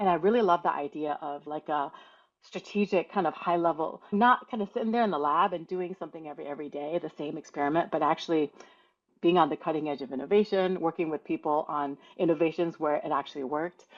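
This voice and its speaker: A woman talks at a very fast pace with an American accent. Her pitch is fairly low, with ordinary pitch variation. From US Midwest, Toledo, Ohio. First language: Mandarin Chinese. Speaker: patent attorney. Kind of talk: podcast interview. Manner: conversational, casual.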